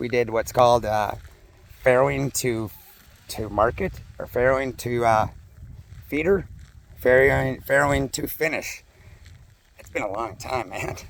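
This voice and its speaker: Speaking at a moderate pace with an Upper Midwest accent, a man with a medium pitch leaves long, frequent pauses, and his loudness swings widely. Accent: Upper Midwest (Minnesota). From US Midwest, western Minnesota. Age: 50s. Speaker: farmer and vlogger. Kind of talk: casual vlog walk-and-talk. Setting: outdoors on farm walking dog. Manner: casual, rambling with fillers.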